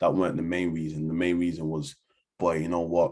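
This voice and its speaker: Speaking at a fairly quick pace with a London accent, a man has a very deep, low pitch and a dark, mellow tone. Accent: London Multicultural English. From London, Hackney. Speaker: community organisation founder. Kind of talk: interview. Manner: casual, filler-heavy.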